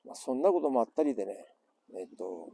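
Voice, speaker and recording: Heard dry with no echo, a man in an Iwate accent speaks with a dark, mellow tone and very wide pitch swings. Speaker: survivor of the 2011 earthquake and tsunami. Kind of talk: casual talk to camera. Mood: earnest, reflective. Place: beach.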